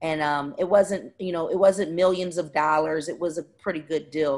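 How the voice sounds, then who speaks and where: This woman talks with fairly even intonation and a fairly low pitch, in a Philadelphia accent. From West Philadelphia. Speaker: community organizer and entrepreneur. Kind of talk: interview.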